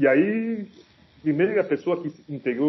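A man speaks with ordinary pitch variation. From Cameroon. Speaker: rapper. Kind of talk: casual chat.

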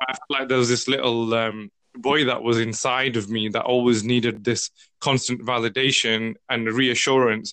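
This man has a British accent and a medium pitch. He speaks at a moderate pace with fairly even intonation. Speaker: podcast host. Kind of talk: casual interview chat.

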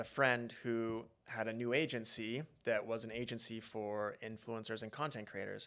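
Spoken with a Western Canadian accent, the voice has a bright, sharp tone and a monotone, flat intonation. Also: man. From Alberta, Canada (Beaumont, near Edmonton). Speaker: reality TV contestant and social media influencer. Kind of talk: casual interview.

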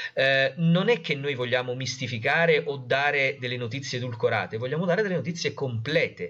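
A man's fairly high voice at a fairly quick pace, with hardly any pauses and ordinary pitch variation. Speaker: journalist and science communicator. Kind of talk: interview conversation. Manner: halting, many fillers.

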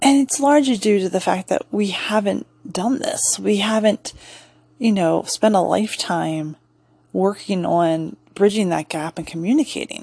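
With a normal speaking voice and lively intonation, a woman talks at a moderate pace. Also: medium pitch for a woman. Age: 40s. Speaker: podcast host and massage therapist. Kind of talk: casual solo monologue.

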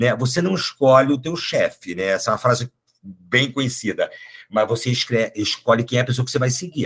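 An ordinary speaking voice at a fairly quick pace with ordinary pitch variation. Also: man, medium pitch for a man. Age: 50s. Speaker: psychologist and HR executive. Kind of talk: casual interview conversation.

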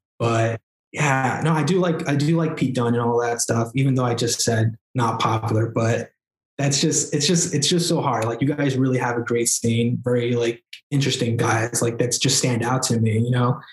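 A man with a New York accent, very even loudness and fairly even intonation. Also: medium pitch for a man, moderate pace. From New York, Queens. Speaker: wrestler. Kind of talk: casual chat.

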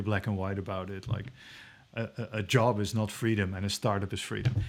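In a very clean recording with a silent background, a man speaks with a Dutch accent. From Netherlands. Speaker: venture investor and startup founder. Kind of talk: interview. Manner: halting, many fillers; to the point.

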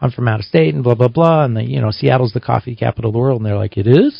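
Speaking at a very fast pace, a man with a medium pitch and a somewhat breathy voice uses lively intonation. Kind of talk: relaxed on-air radio banter with the host, casual back-and-forth chat. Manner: easygoing, laughing, conversational, with short agreeable replies.

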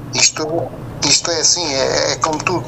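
Over noticeable background noise, a man speaks at a moderate pace. His pitch is fairly high and his intonation fairly even. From Mozambique. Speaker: retired entrepreneur. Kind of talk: radio interview. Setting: phone call.

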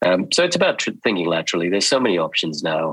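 A man speaks with an Australian accent and a very deep, low pitch. The sound is dry and close, with no echo. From Sri Lanka. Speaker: dermatologist. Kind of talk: interview.

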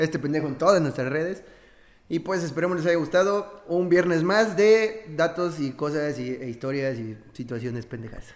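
In a plain, everyday voice, a man with a fairly high pitch speaks at a moderate pace with lively intonation. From Mexico. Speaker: podcast co-host. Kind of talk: casual chat.

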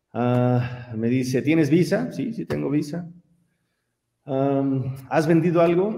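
A man's voice with a dark, mellow tone. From Mexico, San Miguel de Allende, Guanajuato. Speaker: engineer and simulation company founder. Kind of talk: interview conversation.

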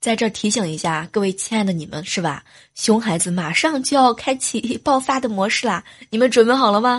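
A woman with a fairly high pitch speaks at a fairly quick pace, her intonation lively and her voice somewhat breathy, over a quiet background. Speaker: podcast host. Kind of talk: casual monologue. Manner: animated.

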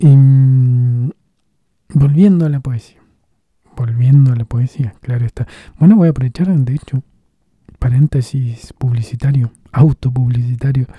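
Somewhat breathy and dark, mellow in tone, a man speaks at a medium pitch and a fairly slow pace with ordinary pitch variation and long, frequent pauses. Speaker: podcast host reading own blog texts. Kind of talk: casual monologue.

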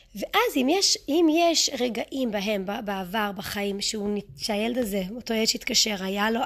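With an English accent, a woman talks in a fairly high pitch with lively intonation. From United States, moved to Israel at eight. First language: English (speaking Hebrew). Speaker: parenting coach. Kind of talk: podcast monologue. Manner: halting, self-correcting.

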